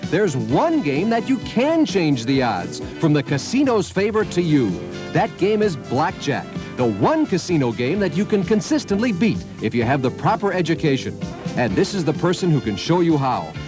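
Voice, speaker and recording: A man with a high-pitched, upbeat voice, very wide pitch swings, moderate pace and very even loudness, with music in the background. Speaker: infomercial announcer. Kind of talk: TV infomercial announcer read. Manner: upbeat, promotional.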